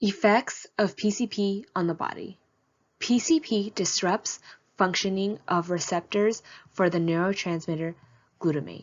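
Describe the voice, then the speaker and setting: In a plain, everyday voice, a woman speaks at medium pitch and a fairly slow pace with ordinary pitch variation. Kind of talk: informational presentation read.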